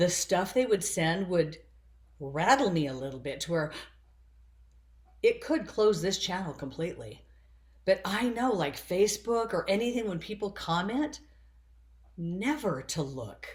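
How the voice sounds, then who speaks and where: Her voice is somewhat breathy, with a medium pitch and very wide pitch swings. The woman speaks at a fairly slow pace with long, frequent pauses. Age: 60s. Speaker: spiritual vlogger. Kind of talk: personal monologue.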